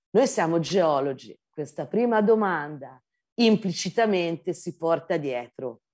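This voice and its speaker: A Tuscan accent with very wide pitch swings at a fairly slow pace, over a quiet background. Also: woman. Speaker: geology professor. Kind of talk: lecture. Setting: video call. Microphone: video call.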